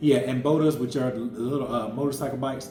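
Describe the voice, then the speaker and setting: A man with an American accent moves at a fairly quick pace through audible room echo and noticeable background noise. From Florida, US. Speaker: family travel vlogger. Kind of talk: casual chat.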